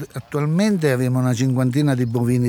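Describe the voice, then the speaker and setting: A man speaks with a rural central Italian accent. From central Italy (Amatrice area). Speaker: cattle farmer. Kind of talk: interview. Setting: outdoors in village. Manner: halting.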